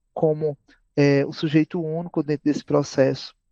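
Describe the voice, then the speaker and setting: A man talks at a fairly slow pace in a monotone, flat delivery. The sound is dry and close, with no echo. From Brazil, Paraíba (Campina Grande). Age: 30s. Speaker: educator and psychologist. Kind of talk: podcast interview. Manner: frequent fillers and hesitations.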